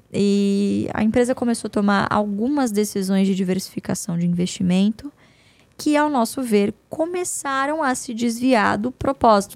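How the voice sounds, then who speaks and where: A woman's plain, everyday voice at medium pitch and moderate pace, with ordinary pitch variation, in a very clean, dry, close recording with no echo and a silent background. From São Paulo state countryside, Brazil. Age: 20s. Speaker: investment analyst and company board member. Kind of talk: casual interview.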